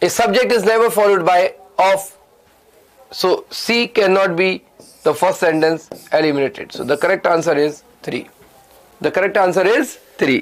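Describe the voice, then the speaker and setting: Over noticeable background noise, a man with a high pitch speaks at a moderate pace, using lively intonation and long, frequent pauses. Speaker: English teacher. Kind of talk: lecture. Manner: mumbling; halting.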